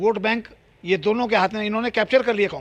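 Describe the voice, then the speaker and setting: A man with a high-pitched voice speaks in an animated tone. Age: 70s. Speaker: politician. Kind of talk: interview.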